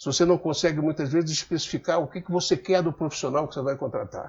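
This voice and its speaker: In a Rio de Janeiro accent, a man talks at a fairly quick pace. His pitch is fairly high, with ordinary variation. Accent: carioca (Rio). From Rio de Janeiro, Brazil. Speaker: business commentator. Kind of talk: casual talk to camera. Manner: halting, repeats words.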